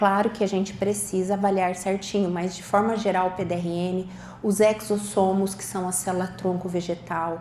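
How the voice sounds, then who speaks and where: Audible room echo surrounds a woman at medium pitch. Her intonation is monotone and flat. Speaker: doctor giving a talk. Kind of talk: lecture.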